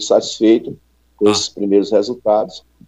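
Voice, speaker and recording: A man speaks at a fairly low pitch. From Ceará, Brazil (Fortaleza). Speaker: football coach. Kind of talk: radio interview.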